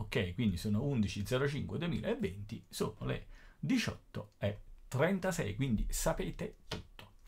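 Speaking at a very slow pace, a man with a medium-pitched voice and vocal fry makes very wide pitch swings. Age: 50s. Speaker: teacher. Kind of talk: tutorial. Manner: casual.

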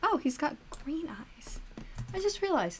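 With a bright, sharp tone, a woman speaks in very wide pitch swings. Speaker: anime review YouTuber. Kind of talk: reaction video commentary. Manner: animated; chatty, rambling.

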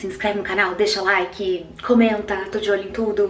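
A woman with fairly even intonation, audible room echo and faint music in the background. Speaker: vlogger. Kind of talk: casual vlog chat. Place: bathroom. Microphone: phone near.

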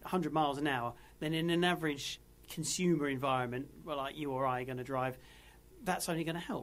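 A man with an ordinary speaking voice talks at a moderate pace, using ordinary pitch variation. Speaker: podcast co-host, EV club member. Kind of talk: casual chat.

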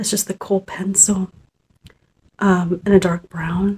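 A soft-spoken, somewhat breathy woman, dark and mellow in tone, with monotone, flat intonation and light background noise. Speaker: ASMR creator. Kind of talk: ASMR role-play makeup application, soft-spoken. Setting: studio, close-mic ASMR. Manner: soft-spoken, gentle, relaxing. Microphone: phone near.

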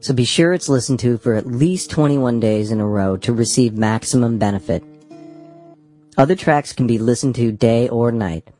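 Medium pitch from a man, with music in the background. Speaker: hypnosis guide. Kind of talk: hypnosis guided meditation, audiobook narration. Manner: instructional, calm.

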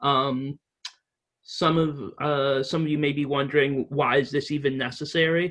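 At a moderate pace, a man with a slight English accent speaks in a monotone, flat intonation. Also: fairly high pitch for a man. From Reading, England. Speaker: advocate presenting a resolution to town officials. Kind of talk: presentation at town meeting. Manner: halting, many fillers.

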